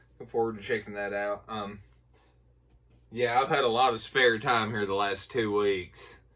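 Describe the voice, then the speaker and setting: A man with a fairly low pitch and a bright, sharp tone speaks at a moderate pace. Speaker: YouTuber reviewing horror film purchases. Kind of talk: casual unboxing haul video. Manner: casual, filler-heavy with ums and uhs.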